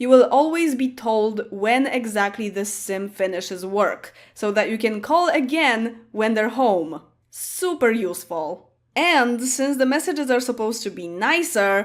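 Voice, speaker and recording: Fairly slow, lively speech in a Polish accent. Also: woman. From Poland. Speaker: gaming YouTuber. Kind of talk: casual talk to camera.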